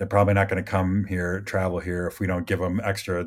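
In a Midwestern American accent, a man speaks with a very deep, low pitch and monotone, flat intonation at a moderate pace. The recording is very clean, with a silent background. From US Midwest. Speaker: film crew member. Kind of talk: casual chat.

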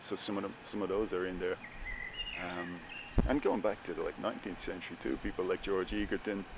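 The speaker talks at a fairly quick pace in a Dublin accent, with noticeable background noise behind the voice. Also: man. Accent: Irish (Dublin). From Ireland. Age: 30s. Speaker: writer. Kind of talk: interview.

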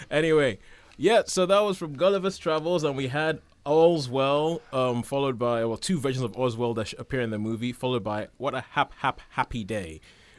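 In a normal speaking voice, a man talks at a fairly quick pace with medium pitch and lively intonation. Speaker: radio host. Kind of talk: casual chat. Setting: studio.

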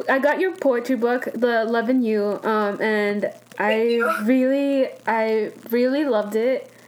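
Against noticeable background noise, a woman talks at a fairly slow pace in a high pitch, with ordinary pitch variation, very even loudness and hardly any pauses. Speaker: podcast host. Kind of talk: interview, casual chat.

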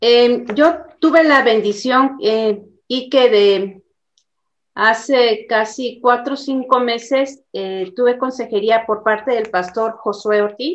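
Speaking at a very slow pace, a woman has a fairly high pitch. Her pitch variation is ordinary. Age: 50s. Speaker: church member. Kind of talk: testimony.

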